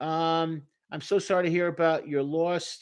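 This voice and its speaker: A man with a strong Brooklyn accent and a high pitch, against a quiet background. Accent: thick Brooklyn. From New York, Brooklyn. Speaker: therapist. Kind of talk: live stream Q&A. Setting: live stream. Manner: animated.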